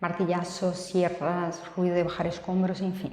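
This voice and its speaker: A soft-spoken woman talks at a fairly slow pace, with audible echo from the room. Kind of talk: video tutorial.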